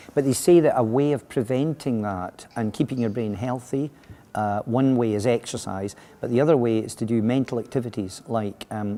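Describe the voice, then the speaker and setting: A man with a Scottish accent speaks at a moderate pace. His medium pitch, dark, mellow tone and ordinary pitch variation hold throughout. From Scotland. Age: 60s. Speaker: education consultant. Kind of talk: interview answers. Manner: halting, many fillers and restarts.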